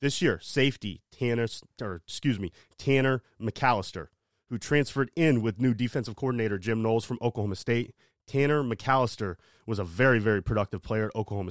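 An ordinary speaking voice from a man, medium in pitch with ordinary pitch variation, at a fairly quick pace, on a very clean recording with a silent background and a dry, close sound with no echo. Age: 30s. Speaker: sports podcaster. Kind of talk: casual monologue. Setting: home studio.

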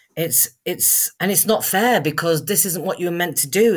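A very clean recording of a woman against a silent background. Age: 50s. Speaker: actor and spiritual life coach. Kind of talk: interview.

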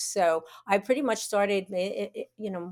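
In a New York accent, a woman speaks at a moderate pace with a medium pitch and ordinary pitch variation, the sound dry and close with no echo. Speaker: college radio alumna. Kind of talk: interview. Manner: halting.

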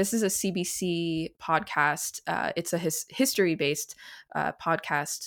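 In an ordinary speaking voice with a Canadian accent, a woman talks at a fairly slow pace and a fairly low pitch, with ordinary pitch variation. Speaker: composer, podcast co-host. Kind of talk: interview conversation.

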